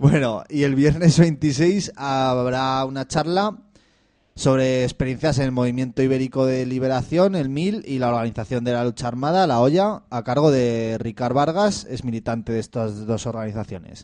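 Speaking at a moderate pace, a man with a dark, mellow tone and medium pitch uses ordinary pitch variation. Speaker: community radio host. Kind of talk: casual chat. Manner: loud.

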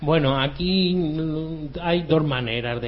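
At a fairly slow pace and with ordinary pitch variation, a man talks in a normal speaking voice. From Andalusia, Spain. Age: 50s. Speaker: electronic musician. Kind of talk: interview.

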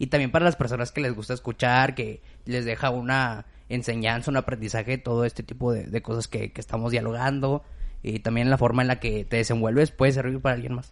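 A man talks at a fairly quick pace and medium pitch, with monotone, flat intonation. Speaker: podcast host. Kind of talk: casual chat.

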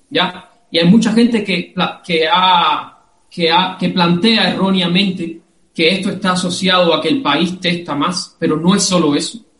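The speech unfolds at a fairly slow pace. Its intonation stays fairly even. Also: man, high pitch for a man. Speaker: microbiologist. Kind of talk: live-streamed interview. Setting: video call.

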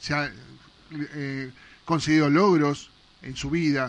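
Speaking very slowly, a man with a fairly high pitch keeps his intonation fairly even. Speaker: radio host. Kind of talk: radio interview. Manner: halting, repeats words.

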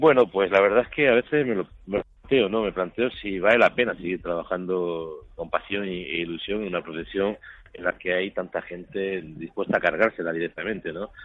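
His voice is very deep and low, moving at a moderate pace. This man speaks with hardly any pauses. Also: ordinary pitch variation. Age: 50s. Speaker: photojournalist. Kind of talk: interview.

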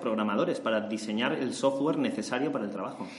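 A man at a very fast pace with a Spanish accent, amid noticeable background noise. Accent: Spanish (Spain). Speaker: podcast host. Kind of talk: interview.

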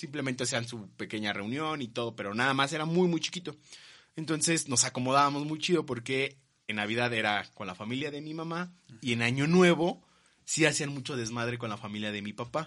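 This man's voice sits at a medium pitch, with a bright, sharp tone and ordinary rise and fall. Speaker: podcast host. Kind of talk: casual chat.

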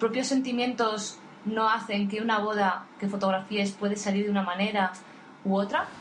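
Amid noticeable background noise and audible room echo, a woman speaks at a moderate pace, fairly high in pitch, with fairly even intonation. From Spain, Asturias (Oviedo). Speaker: podcast co-host, wedding photographer. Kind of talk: casual chat.

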